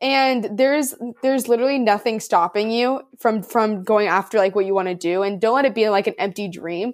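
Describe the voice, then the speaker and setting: Animated in tone, a woman with a Californian accent speaks at a fairly high pitch with lively intonation on a very clean recording with a silent background. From Southern California, Orange County. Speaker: college athlete and hiking content creator. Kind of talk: casual interview chat. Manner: animated, frequent fillers like 'like' and 'um'.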